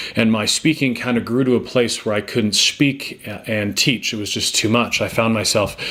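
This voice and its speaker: A man with a Canadian accent, monotone and flat in intonation, amid noticeable background noise. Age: 40s. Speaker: motivational speaker and former teacher. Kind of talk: personal testimony. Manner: fast; halting, many fillers.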